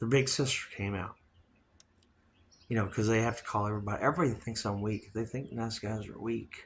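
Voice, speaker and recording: This man talks at a fairly quick pace with long, frequent pauses, his medium-pitched voice somewhat breathy. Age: 60s. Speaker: podcast host. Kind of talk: casual monologue. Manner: rambling, animated.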